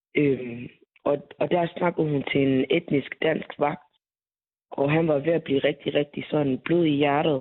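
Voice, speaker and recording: A woman's very deep, low voice in a monotone, flat delivery, with very even loudness and a fairly slow pace. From Aarhus, Denmark. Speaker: young woman turned away at a nightclub door. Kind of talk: phone interview. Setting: phone call.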